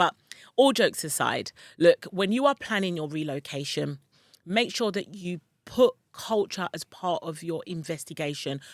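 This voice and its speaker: Recorded very cleanly with a silent background and a dry, close sound with no echo, a woman speaks at medium pitch. She keeps a moderate pace with lively intonation. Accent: London. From London, UK (Ghanaian parents). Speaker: relocation and online business coach. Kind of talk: vlog-style advice talk. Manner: loud; animated.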